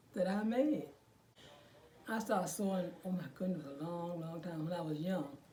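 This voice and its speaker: Against noticeable background noise, a woman with a fairly low pitch and ordinary pitch variation talks at a moderate pace, pausing often and at length. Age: 80s+. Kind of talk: interview answer.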